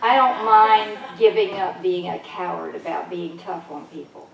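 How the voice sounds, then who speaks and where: Noticeable background noise and audible room echo surround a speaker with an American accent who talks at a moderate pace. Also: woman. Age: 70s. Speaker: holistic healer and speaker. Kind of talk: spiritual talk to a congregation. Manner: animated.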